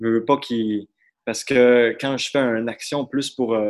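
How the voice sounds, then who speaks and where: The man's voice sits at a medium pitch with monotone, flat intonation. He speaks at a moderate pace. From Quebec, Saguenay. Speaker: student and slam poet. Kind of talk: casual chat. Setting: performance hall, on video call.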